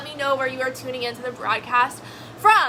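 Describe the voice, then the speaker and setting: A woman's raised, projected voice, high in pitch, over noticeable background noise. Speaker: network marketing coach. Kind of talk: live stream talk. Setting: live video broadcast. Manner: fast; animated.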